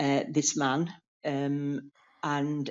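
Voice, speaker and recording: A woman is speaking. Her pitch is very deep and low for a woman. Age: 60s. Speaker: domestic abuse survivor. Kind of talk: testimony. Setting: remote interview, audio only. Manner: halting, many fillers.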